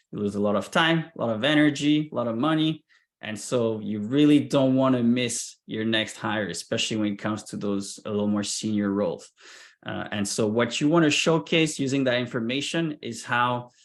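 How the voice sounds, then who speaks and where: At a moderate pace, a man speaks with a medium pitch and ordinary pitch variation in a very clean recording with a silent background. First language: not English. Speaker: sales recruiter and founder. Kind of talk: presentation.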